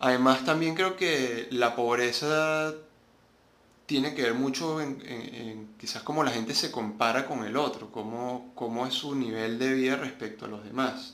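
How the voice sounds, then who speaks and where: The recording has audible room echo and noticeable background noise. A man at a medium pitch talks at a fairly slow pace with ordinary pitch variation. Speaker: podcast host. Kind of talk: solo monologue commentary.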